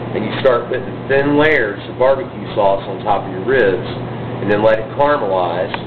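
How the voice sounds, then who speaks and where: Speech in a Southern US accent with ordinary pitch variation, plus audible room echo and noticeable background noise. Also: man, medium pitch for a man, moderate pace. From Texas. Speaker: butcher and caterer. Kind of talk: tutorial. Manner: casual, frequent filler words.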